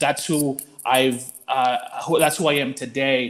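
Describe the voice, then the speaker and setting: This man has a Spanish accent and a fairly high pitch. His intonation stays fairly even. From Mexico, Jalisco small town until nine, then Colorado. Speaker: nonprofit executive director. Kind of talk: panel conversation.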